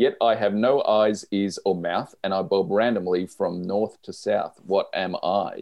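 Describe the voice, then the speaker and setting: He speaks with an Australian accent. The man's pace is fairly slow. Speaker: podcast co-host. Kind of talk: casual chat.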